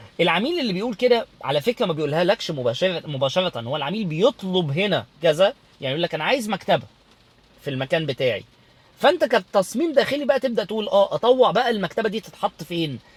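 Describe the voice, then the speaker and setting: A man's high-pitched, fairly quick speech with very wide pitch swings, a dry, close sound with no echo, and noticeable background noise. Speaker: interior design instructor. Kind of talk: casual talk to camera. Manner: loud; halting, many repetitions.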